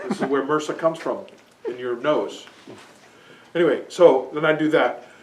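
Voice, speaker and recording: A man talks at a moderate pace in a fairly high voice. Audible room echo and light background noise surround him. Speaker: seminar participant demonstrating a device. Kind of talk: demonstration to a small group. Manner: loud; halting, many restarts. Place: shop. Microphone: camera far.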